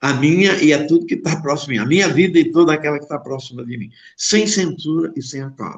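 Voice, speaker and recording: A man with a fairly high pitch, talking at a very fast pace. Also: ordinary pitch variation. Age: 70s. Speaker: psychologist. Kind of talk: reading own philosophical text.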